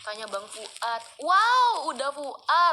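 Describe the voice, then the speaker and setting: A woman's raised, projected voice with lively intonation and a Pekanbaru accent. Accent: typical Pekanbaru. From Pekanbaru, Riau, Indonesia (Malay). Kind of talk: casual livestream chat reading viewer questions. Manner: casual, code-switching with English.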